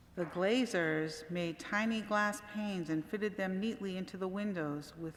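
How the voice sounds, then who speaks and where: There is audible echo in the room. A woman speaks at a medium pitch with ordinary pitch variation. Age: 60s. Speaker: church membership volunteer reading a story. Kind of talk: reading aloud. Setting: church service.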